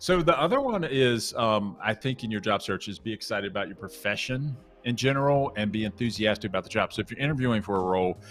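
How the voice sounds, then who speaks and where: A man with a slight Southern US accent talks at a very fast pace with hardly any pauses. His pitch is medium, with ordinary pitch variation. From US South. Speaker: coding bootcamp instructor. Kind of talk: casual chat.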